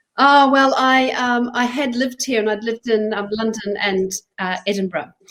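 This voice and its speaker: With a slight New Zealand accent, a woman talks at a fairly high pitch with ordinary pitch variation. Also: moderate pace. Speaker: charity chief executive. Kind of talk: interview. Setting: live online broadcast. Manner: halting.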